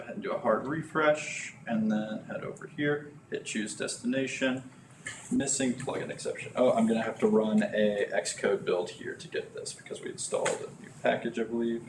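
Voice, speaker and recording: Music plays behind a man as he speaks. His loudness rises and falls sharply. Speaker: software developer presenting a live coding meetup. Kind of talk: live coding tutorial. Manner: fast.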